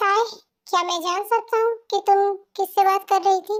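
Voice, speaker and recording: A woman's put-on character voice, squeaky and extremely high in pitch, monotone and flat in intonation, at a moderate pace. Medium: audio drama. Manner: earnest, protective.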